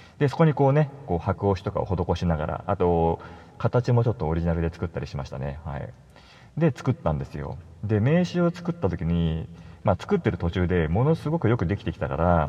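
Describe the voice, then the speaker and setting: A man speaks fairly quickly in a very deep, low pitch with very wide pitch swings and a dark, mellow, somewhat breathy tone. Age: 40s. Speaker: solo podcaster and web designer. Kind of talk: casual solo monologue. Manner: conversational, many fillers.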